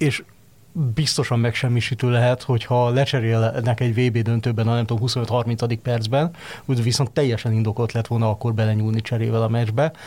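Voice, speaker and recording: The delivery is somewhat breathy. It moves at a moderate pace. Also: man. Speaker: football pundit. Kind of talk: casual football discussion. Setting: studio.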